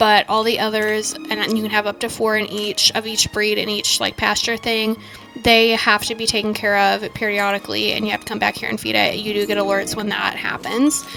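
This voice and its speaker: Music plays in the background as a woman talks at a fairly quick pace. She hardly pauses at all. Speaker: gaming YouTuber. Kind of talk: game review commentary. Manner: fast.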